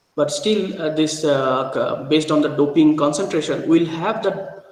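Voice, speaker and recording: Audible room echo surrounds the man's fairly high voice. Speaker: university lecturer. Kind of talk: lecture. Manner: slow; halting, many fillers.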